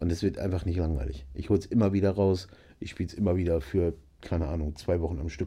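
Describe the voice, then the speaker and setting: Very deep and low, a man's dark, mellow voice with vocal fry rushes at a very fast pace with ordinary pitch variation. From northern Germany, Nienburg (Lower Saxony). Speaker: musician and gamer. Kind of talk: casual chat. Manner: animated.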